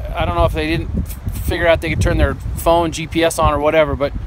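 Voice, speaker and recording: A dry sound with no echo and light background noise. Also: man. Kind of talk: casual vlog chat. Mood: relaxed, content. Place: waterside. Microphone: phone near.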